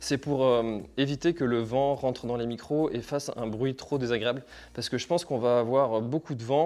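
A man talks with a dark, mellow tone. His pace is moderate and his intonation fairly even. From France, Brittany (Finistère); Brittany, France. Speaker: trail running YouTuber. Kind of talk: gear review tutorial. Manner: casual, hesitant with fillers. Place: home room. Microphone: phone near.

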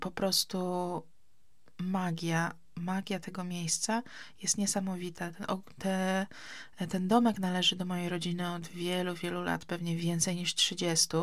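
A woman's somewhat breathy voice at a fairly low pitch and fairly slow pace, with monotone, flat intonation, on a very clean recording with a silent background. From Poland, Gdańsk. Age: 30s. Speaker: podcaster. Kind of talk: casual chat. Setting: summer house.

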